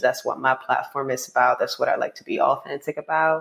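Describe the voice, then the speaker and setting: A woman talks with a Spanish accent. Her pace is fairly quick. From Dominican Republic, Santo Domingo. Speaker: poet and author. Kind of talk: podcast interview.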